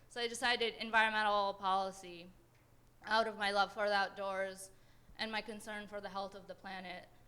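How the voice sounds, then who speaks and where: With an American accent, a woman speaks at a medium pitch in a bright, sharp tone, her intonation monotone and flat while her loudness swings widely. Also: fairly quick pace. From Afghan-born, grew up in Pakistan then San Jose area, California. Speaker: panelist, environmental advocate. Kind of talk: panel talk, personal story. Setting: panel before audience in university hall. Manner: casual, many fillers (um, kinda, like).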